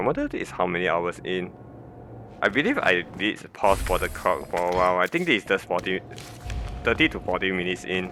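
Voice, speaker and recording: A man with a non-native accent at a fairly quick pace. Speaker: game guide narrator. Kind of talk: gameplay commentary.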